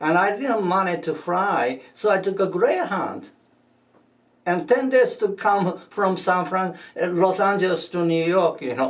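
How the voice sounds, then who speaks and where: This man has a high voice with ordinary pitch variation, and he talks fairly slowly. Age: 80s+. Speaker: shiatsu master and teacher. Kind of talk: interview. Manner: halting, many fillers.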